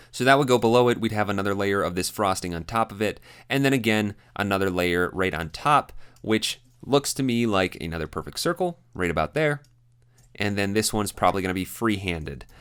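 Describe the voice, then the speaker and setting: A man's fairly low voice with lively intonation and a fairly quick pace, on a very clean recording with a silent background. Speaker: design instructor. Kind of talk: software tutorial. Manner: fast; casual, conversational.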